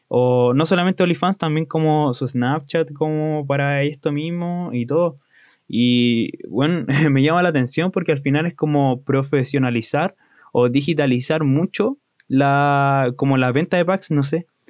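This man's fairly high voice moves with ordinary pitch variation at a fairly slow pace, its loudness very even throughout. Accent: Chilean. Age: 20s. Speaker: podcaster. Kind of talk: casual monologue.

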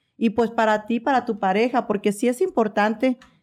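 A woman with a plain, everyday voice speaks at a moderate pace and a fairly high pitch, her intonation fairly even, on a very clean recording with a silent background. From Veracruz, Mexico. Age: 40s. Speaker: personal trainer and content creator. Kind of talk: casual interview chat.

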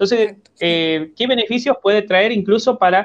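A man's pitch shifts in an ordinary way as he speaks at a moderate pace. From Argentina. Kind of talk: radio interview.

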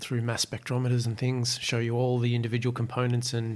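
In an Australian accent, a man talks at a very fast pace with a medium pitch. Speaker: urban beekeeper. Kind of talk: casual interview. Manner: halting, many fillers.

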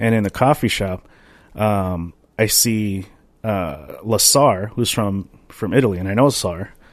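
With a quiet background behind him, a man speaks fairly slowly in an unremarkable speaking voice, fairly low in pitch with ordinary pitch variation. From Minnesota. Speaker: podcast co-host, dance teacher. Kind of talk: casual chat.

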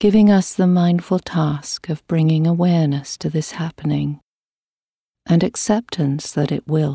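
A woman's somewhat breathy voice has a dark, mellow tone and a calm, soothing quality, moving at a fairly slow pace with fairly even intonation, and the sound is dry and close with no echo on a very clean recording over a silent background. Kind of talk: guided meditation. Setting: recorded audio meditation with a gong. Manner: slow, calm and soothing, with long pauses between phrases; gentle, even and unhurried.

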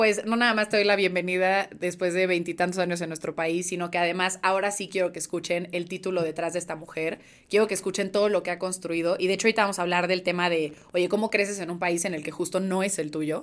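A woman speaks at a very fast pace with hardly any pauses, her medium-pitched voice monotone and flat, on a very clean recording with a silent background. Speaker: podcast host. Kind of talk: casual interview.

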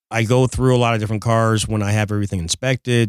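With an American accent and an ordinary speaking voice, a man talks at a fairly quick pace and fairly low pitch with fairly even intonation, in a very clean, dry, close recording with a silent background and no echo. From Detroit, Michigan. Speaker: car dealer. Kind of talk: casual chat. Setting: studio.

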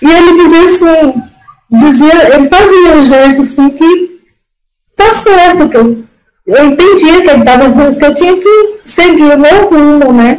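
At a fairly slow pace, a woman speaks at a high pitch with ordinary pitch variation and very even loudness. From Ceará, Brazil. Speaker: fibromyalgia patient, former hairdresser. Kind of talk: personal testimony in casual interview. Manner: talkative, emotional.

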